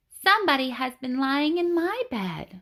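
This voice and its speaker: This female-sounding voice sits at a high pitch for a woman. It is a put-on character voice. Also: moderate pace. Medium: read story.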